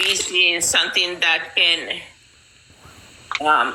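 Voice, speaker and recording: A woman speaks very slowly in a fairly low, flat monotone, with noticeable noise behind her. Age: 50s. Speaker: community member sharing her story. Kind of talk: testimony. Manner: halting, repeats words.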